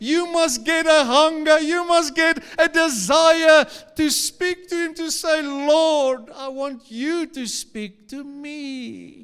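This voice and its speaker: A man with an extremely high pitch and a warm tone speaks at a very slow pace, with hardly any pauses, ordinary pitch variation and big swings in loudness. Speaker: pastor. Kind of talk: live church sermon, scripture teaching with congregation call-and-response. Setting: church service with live congregation. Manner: fervent, urging exhortation with repeated 'come on' and direct appeals to the crowd; warm and expressive, pausing to laugh and lead call-and-response prayer.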